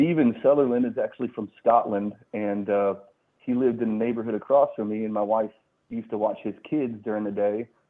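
A man with an American accent has a normal speaking voice, medium pitch, fairly even intonation and a fairly quick pace. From Colorado. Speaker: musician and Marine veteran. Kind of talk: casual interview chat.

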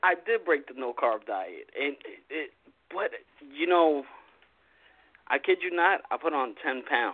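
Someone with an American accent speaks at a fairly slow pace, leaving long, frequent pauses. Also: man. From Long Island, New York. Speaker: caller. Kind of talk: casual chat. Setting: phone call.

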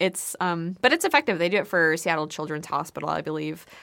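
A woman speaks at a fairly quick pace with a fairly low pitch and a bright, sharp tone. The recording is very clean, with a silent background. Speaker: video producer and co-host. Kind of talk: casual chat.

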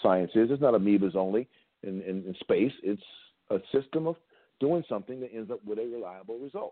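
Delivered at a fairly quick pace, this man's medium-pitched voice is an ordinary speaking voice with lively intonation and big swings in loudness. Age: 60s. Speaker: football coach and tackling trainer. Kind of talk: casual chat.

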